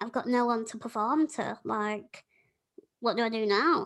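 A woman's fairly high voice with a Yorkshire accent, at a fairly slow pace. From Yorkshire, England. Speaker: podcast host.

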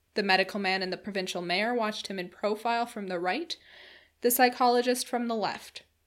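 In a very clean recording with a silent background, a woman with an ordinary speaking voice talks at a fairly high pitch with fairly even intonation. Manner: measured, storytelling pace with a formal period tone.

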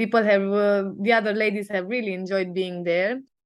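A woman speaks at a moderate pace with a medium pitch. The background is quiet. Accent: Romanian. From Sibiu, Romania. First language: Romanian. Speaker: business coach. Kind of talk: casual chat. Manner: hesitant, many fillers.

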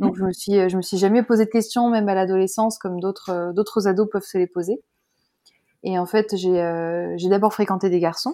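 Dark and mellow in tone, a woman speaks at a moderate pace with a medium pitch and fairly even intonation. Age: 30s. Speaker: author sharing her coming-out and parenting story. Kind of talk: testimony. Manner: halting, many hesitations.

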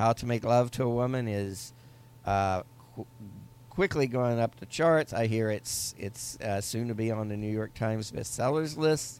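A man with a normal speaking voice talks at a medium pitch with ordinary pitch variation. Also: moderate pace. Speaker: podcast host. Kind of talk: casual comedic chat.

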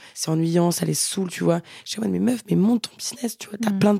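A woman's normal speaking voice, fairly low in pitch with ordinary pitch variation, in a dry, close sound with no echo. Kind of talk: casual chat.

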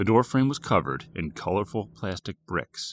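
The man's voice has vocal fry. He keeps to a moderate pace. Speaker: horror fiction narrator. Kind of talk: horror audiobook narration, scripted story read aloud with character voices for dialogue. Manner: measured, suspenseful, hushed and eerie storytelling.

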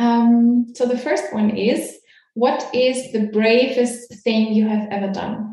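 A woman with a German accent speaks at a very slow pace in a fairly high pitch. Her intonation is monotone and flat. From Austria. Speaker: podcast host, coach. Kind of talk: interview; guided imagination.

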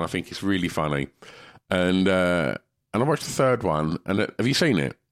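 A man with an English accent talks at a fairly quick pace in a very deep, low pitch with very wide pitch swings. The recording is very clean, with a silent background. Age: 50s. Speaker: podcast co-host. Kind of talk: casual chat.

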